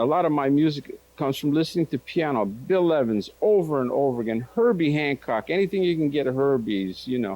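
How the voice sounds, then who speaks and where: The voice is dark and mellow, with lively intonation. It moves at a fairly quick pace with very even loudness. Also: man. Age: 60s. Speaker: jazz guitar teacher. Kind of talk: lesson. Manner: casual, halting with repetitions.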